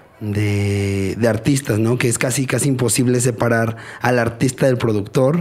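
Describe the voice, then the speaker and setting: A man speaks at a fairly slow pace in a medium pitch, his intonation fairly even, over noticeable background noise. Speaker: podcast co-host. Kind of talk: casual chat.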